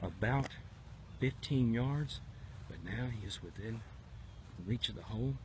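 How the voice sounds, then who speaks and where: Speaking fairly slowly with long, frequent pauses, a man with a medium-pitched, somewhat breathy voice uses lively intonation. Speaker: golf commentator. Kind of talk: live commentary. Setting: outdoors. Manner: whispering.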